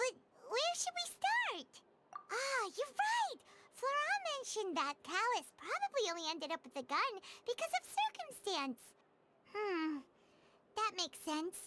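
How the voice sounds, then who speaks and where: With long, frequent pauses, a put-on character voice comes out squeaky and at an extremely high pitch. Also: moderate pace. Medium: video game. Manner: lively, thinking aloud.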